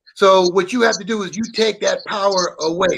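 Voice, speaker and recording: A man with a high pitch speaks fairly quickly, noticeable background noise behind him. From Brooklyn, New York. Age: 60s. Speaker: guest on watch talk show. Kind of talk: casual chat.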